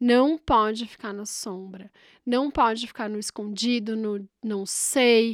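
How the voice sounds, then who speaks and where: Animated in tone, a woman speaks at a fairly high pitch. The recording is very clean, with a silent background, and the sound is dry and close with no echo. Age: 30s. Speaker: podcast host. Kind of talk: casual monologue.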